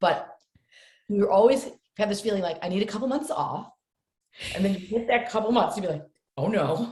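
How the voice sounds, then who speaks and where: A woman with an American accent talks at a fairly quick pace in an animated tone, her medium pitch moving with ordinary variation, her voice somewhat breathy and broken by long, frequent pauses. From upstate New York. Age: 60s. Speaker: actress. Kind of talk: podcast interview.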